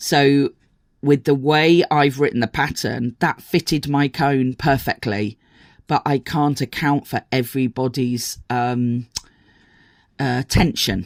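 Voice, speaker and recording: The speech moves at a very slow pace in a very clean recording with a silent background. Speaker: crochet teacher and pattern designer. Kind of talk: tutorial. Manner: hesitant, many fillers.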